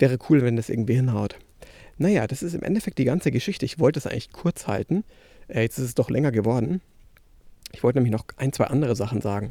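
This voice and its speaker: A man with a dark, mellow tone and medium pitch speaks at a very fast pace with lively intonation, yet leaves long, frequent pauses. The recording is very clean, with a silent background and a dry, close sound with no echo. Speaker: podcast host, filmmaker. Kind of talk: casual monologue. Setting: outdoors, walking in garden. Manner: halting, many fillers.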